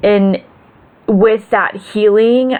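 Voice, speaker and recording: A woman speaks at a very slow pace. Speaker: vlogger. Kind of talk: personal video update. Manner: stutters when tired.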